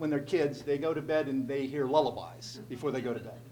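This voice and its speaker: A man with a central Pennsylvania accent speaks at a fairly quick pace. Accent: central Pennsylvania American. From central Pennsylvania, Altoona. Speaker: state legislator. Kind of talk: speech to a group. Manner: conversational storytelling.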